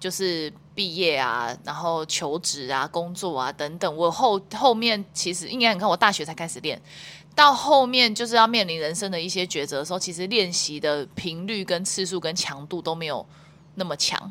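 A woman speaks with a Taiwanese accent in a bright, sharp tone. Her pitch is fairly low, and the recording is very clean with a silent background. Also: lively intonation, moderate pace. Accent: Taiwanese Mandarin. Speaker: wakeboard athlete and international judge. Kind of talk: casual interview.

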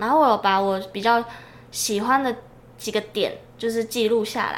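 The woman, using a normal speaking voice, talks fairly high in pitch at a moderate pace, her pitch varying in an ordinary way. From Taiwan, Changhua. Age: 20s. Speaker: podcast co-host, mission agency staff. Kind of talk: casual chat.

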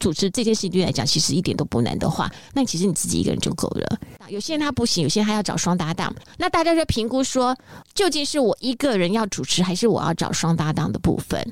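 The speaker is loud and animated, talking at a very fast pace with very wide pitch swings. Noticeable background noise runs underneath. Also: woman, medium pitch for a woman. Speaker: radio host. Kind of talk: interview. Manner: animated, laughs loudly.

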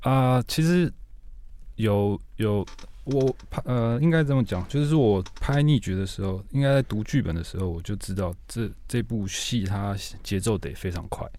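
At a fairly slow pace, a man with a medium pitch and a dark, mellow tone speaks with lively intonation. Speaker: TV series director. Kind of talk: casual interview.

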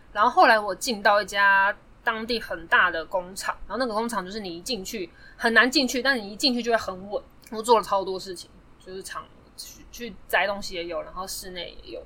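A woman with an unremarkable speaking voice talks at a fairly quick pace, her pitch fairly high with ordinary variation. Her loudness swings a lot. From Taiwan. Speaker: podcast guest. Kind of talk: casual chat. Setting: studio.

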